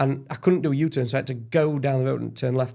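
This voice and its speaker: A very fast, animated voice with an English accent and ordinary pitch variation. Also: man. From England. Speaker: podcast guest. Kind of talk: casual debate.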